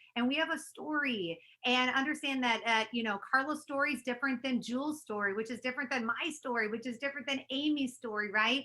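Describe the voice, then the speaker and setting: A woman with an American accent speaks at a high pitch in a raised, projected voice, her pitch varying in an ordinary way. Her tone is animated, bright and sharp, and her pace is fairly quick. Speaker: network marketing leader. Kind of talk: webinar training presentation. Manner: fast.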